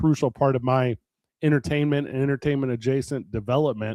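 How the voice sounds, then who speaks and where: In an American accent, a man speaks at a fairly quick pace with a fairly high pitch and an ordinary speaking voice, on a very clean recording with a silent background and a dry, close sound with no echo. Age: 40s. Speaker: wrestling promoter and talk radio host. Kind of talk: casual chat.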